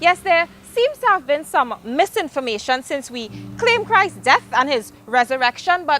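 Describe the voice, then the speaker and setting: Music plays behind a woman's raised, projected voice at a moderate pace. Her high pitch moves in very wide swings. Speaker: spoken word poet. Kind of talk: spoken word poetry performance.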